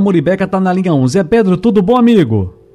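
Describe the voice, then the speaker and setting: Over noticeable background noise, a man with a high voice talks at a moderate pace. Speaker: radio host. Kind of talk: radio call-in show hosting.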